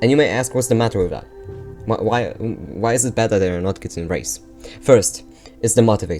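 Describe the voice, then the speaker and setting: A speaker with a non-native accent talks at a fairly quick pace with long, frequent pauses. Music plays in the background. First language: not English. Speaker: gaming YouTuber. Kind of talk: opinion rant to camera.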